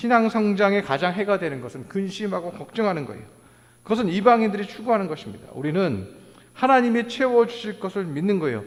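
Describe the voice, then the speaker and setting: With lively intonation and big swings in loudness, a man talks at a fairly quick pace in a high pitch. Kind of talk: preaching.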